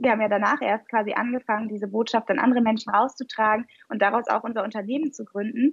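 A woman with a fairly high, somewhat breathy voice speaks at a very fast pace in a dry, close sound with no echo. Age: 20s. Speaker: physician, nutrition coach and founder. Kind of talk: interview conversation.

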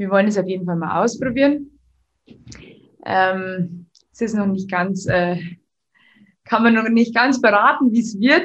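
Her voice is somewhat breathy, with a medium pitch and ordinary pitch variation. The woman leaves long, frequent pauses. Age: 20s. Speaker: business owner. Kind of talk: interview. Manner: hesitant, many filler sounds.

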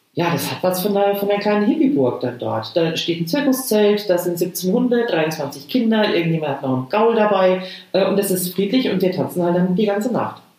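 With audible room echo, a woman talks at a fairly quick pace with hardly any pauses, her pitch swinging very widely. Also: medium pitch for a woman. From Lower Franconia, Rhön (Münnerstadt). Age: 50s. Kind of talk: casual chat. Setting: video call.

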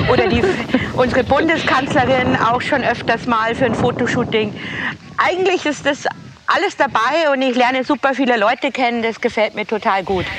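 Over noticeable background noise, a woman speaks at a moderate pace in a high pitch, with ordinary pitch variation and very even loudness. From Bavaria, Straubing area. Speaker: celebrity make-up artist. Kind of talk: casual chat. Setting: outdoors, walking.

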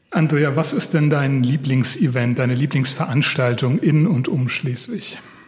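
A man with a fairly high voice for a man speaks with hardly any pauses and ordinary pitch variation over music in the background. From Hesse. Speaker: podcast host. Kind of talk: interview. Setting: on location.

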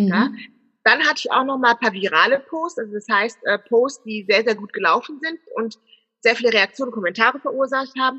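At a fairly quick pace, a woman speaks with high pitch, a bright, sharp tone and ordinary pitch variation. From Germany. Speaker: business consultant and personal branding expert. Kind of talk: interview. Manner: hesitant, many filler sounds.

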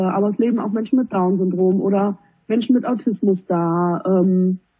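Here a woman speaks in a plain, everyday voice at medium pitch. Her pace is moderate and her pitch variation ordinary. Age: 20s. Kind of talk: interview.

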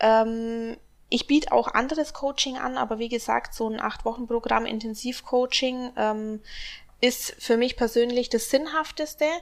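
Speaking at a fairly slow pace, a woman with a high pitch keeps her intonation fairly even on a very clean recording with a silent background. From Augsburg, Bavaria. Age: 20s. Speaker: bikini fitness athlete and coach. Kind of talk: casual interview.

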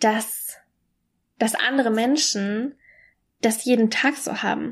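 Recorded very cleanly over a silent background, a woman speaks at a fairly high pitch. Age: 20s. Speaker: podcaster and mentor for women. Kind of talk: personal monologue. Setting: alone at home.

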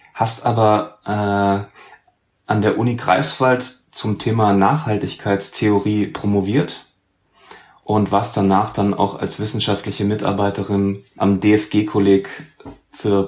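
A man's fairly low voice at a very slow pace, monotone and flat in intonation, with very even loudness. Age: 30s. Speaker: podcast host, music journalist. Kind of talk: interview.

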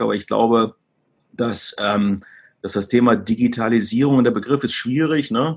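Fairly quick speech from a man at medium pitch. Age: 40s. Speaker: e-commerce executive. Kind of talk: interview. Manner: hesitant, many fillers.

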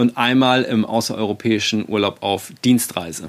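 The pace is fairly slow. A man speaks with ordinary pitch variation. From Germany. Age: 40s. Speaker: podcast host, self-management coach. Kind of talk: solo podcast monologue. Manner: hesitant, many fillers.

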